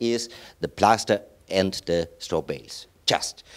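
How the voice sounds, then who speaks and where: A man speaks in a very clean recording against a silent background. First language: German. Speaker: chairman of a straw bale building network. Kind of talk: conference presentation. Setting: stage with audience.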